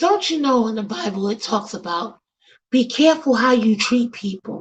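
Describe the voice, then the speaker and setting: In a Bronx accent, a woman speaks at a moderate pace with a fairly high pitch, lively intonation and an animated tone. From New York City, the Bronx. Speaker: podcast host. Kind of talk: casual chat. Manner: loud.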